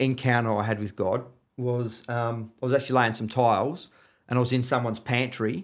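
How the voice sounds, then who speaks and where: On a very clean recording with a silent background, a man with an Australian accent speaks at a medium pitch and a moderate pace. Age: 50s. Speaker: floor and wall tiler. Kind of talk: casual chat. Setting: studio.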